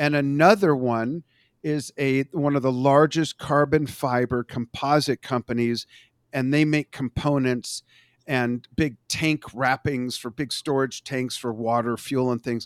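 A man talks at a fairly slow pace in an unremarkable speaking voice, medium in pitch with fairly even intonation. The recording is very clean with a silent background and a dry, close sound with no echo. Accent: American. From Los Angeles, US. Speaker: social media marketing consultant. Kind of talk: casual interview.

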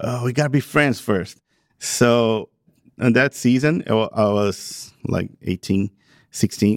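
On a very clean recording with a silent background and a dry, close sound with no echo, a man with a Portuguese accent speaks very slowly at medium pitch with ordinary pitch variation. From Brazil. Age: 30s. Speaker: pastor. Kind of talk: interview conversation. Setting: event venue.

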